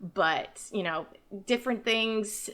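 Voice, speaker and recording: A woman with an American accent, bright and sharp in tone, at a fairly slow pace with ordinary pitch variation. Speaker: YouTuber. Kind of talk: personal testimony. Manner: animated.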